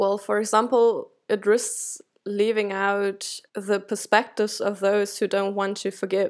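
In a very clean recording with a silent background, a woman with a German accent speaks at a fairly slow pace, her medium pitch held in a monotone, flat intonation. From Germany. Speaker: academic researcher. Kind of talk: interview. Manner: halting.

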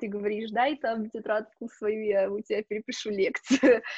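An ordinary speaking voice from a woman, fairly high-pitched, with fairly even intonation and a moderate pace, the sound dry and close with no echo over a quiet background. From Russia, Novosibirsk. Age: 20s. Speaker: hotel management student. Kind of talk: interview.

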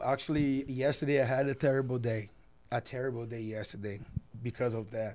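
A man with a Portuguese accent talks at a fairly quick pace. His intonation stays fairly even. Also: medium pitch for a man. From Brazil. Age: 20s. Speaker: professional basketball player. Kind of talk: interview. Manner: halting.

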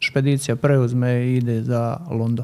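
Speaking at medium pitch, a man has a dark, mellow tone and fairly even intonation. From Herzegovina, Bosnia and Herzegovina. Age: young. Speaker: winemaker. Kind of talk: interview. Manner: halting, repeats words.

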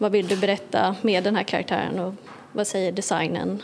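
The speaker keeps a monotone, flat intonation at a moderate pace, with noticeable background noise behind. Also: woman. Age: young. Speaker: illustrator. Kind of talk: interview.

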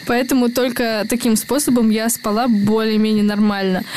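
With noticeable background noise behind her, a woman talks at a fairly high pitch with fairly even intonation. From semi-desert region of Russia. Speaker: podcast co-host, correspondent. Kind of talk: casual chat.

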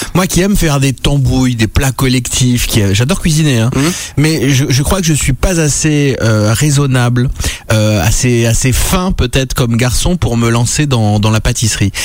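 Noticeable background noise sits behind a man speaking at medium pitch and a moderate pace. His loudness stays very even, with ordinary pitch variation. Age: 40s. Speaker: radio host. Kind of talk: casual chat. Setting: studio. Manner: animated.

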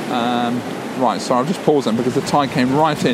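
Over noticeable background noise and audible room echo, a man at medium pitch talks at a very fast pace in a monotone, flat intonation. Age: 40s. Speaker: podcaster. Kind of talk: casual monologue. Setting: in a car; outdoors on a beach.

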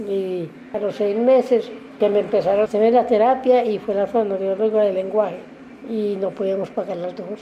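Over noticeable background noise, a woman talks at a moderate pace. Her pitch is medium and her intonation fairly even. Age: 60s. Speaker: stroke survivor. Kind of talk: testimony.

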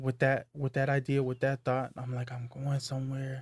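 In a very clean recording with a silent background, a somewhat breathy man speaks at a fairly slow pace with a medium pitch and monotone, flat intonation. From US West Coast, Hayward, California (Tongan and Hawaiian family). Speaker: clothing brand founder. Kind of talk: casual chat.

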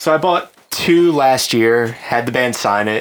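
An unremarkable speaking voice comes through with ordinary pitch variation. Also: man. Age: 20s. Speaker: lawyer, podcast co-host. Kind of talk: casual chat.

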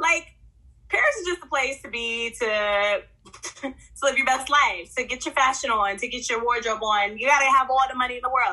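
In a raised, projected voice with an American accent, a woman speaks at high pitch with ordinary pitch variation. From Oklahoma City. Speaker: podcast co-host. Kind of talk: casual chat. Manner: animated.

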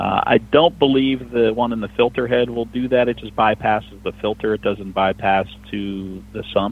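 A man's medium-pitched, an ordinary speaking voice, with an American accent, fairly even intonation, a moderate pace and hardly any pauses. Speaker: diesel mechanic. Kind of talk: call-in radio talk show.

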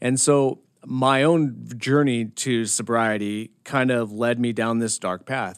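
On a very clean recording with a silent background, a man with an American accent and a plain, everyday voice speaks at a medium pitch with fairly even intonation. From Montana. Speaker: army veteran and social work grad student. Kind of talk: interview.

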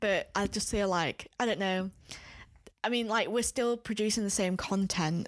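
With a Yorkshire accent, a woman speaks at a moderate pace and medium pitch, with very even loudness and fairly even intonation, in a very clean recording with a silent background. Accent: northern English, Yorkshire. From Leeds, northern England. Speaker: podcast co-host. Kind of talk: casual chat.

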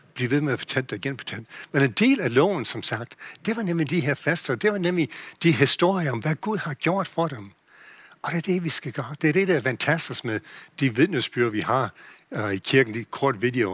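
The speaker has an English accent and a moderate pace. The sound is dry and close with no echo, and the pitch swings very widely. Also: man, fairly high pitch for a man. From USA. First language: English (speaking Danish). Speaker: pastor. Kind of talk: sermon. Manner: halting.

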